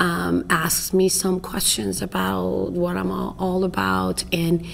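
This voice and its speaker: With noticeable background noise behind her, a woman with an Iranian accent speaks at a very slow pace. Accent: foreign accent (Iranian). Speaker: family therapist and professor. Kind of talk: interview. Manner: halting.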